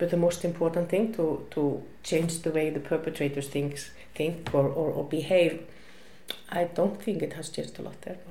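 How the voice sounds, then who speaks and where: A woman with an Icelandic accent, her pitch fairly low and her intonation fairly even, amid noticeable background noise and audible room echo. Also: moderate pace. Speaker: women's shelter worker. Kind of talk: interview. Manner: halting, many fillers.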